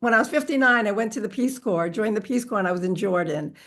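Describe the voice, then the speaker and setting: Against a quiet background, a woman with an American accent speaks in a bright, sharp tone, fairly high in pitch, with lively intonation. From New York, Long Island. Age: 70s. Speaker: racial equity advocate and storyteller. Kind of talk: interview.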